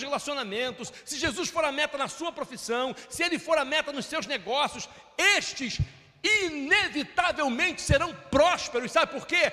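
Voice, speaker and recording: A man's raised, projected voice at an extremely high pitch, moderate pace, with ordinary pitch variation. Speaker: pastor. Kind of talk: sermon.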